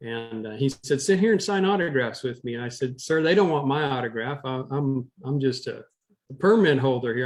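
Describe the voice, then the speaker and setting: Here is a man with an ordinary speaking voice. His pitch sits fairly high, and his pace is moderate. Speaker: former rodeo cowboy, historian, auctioneer. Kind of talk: interview storytelling.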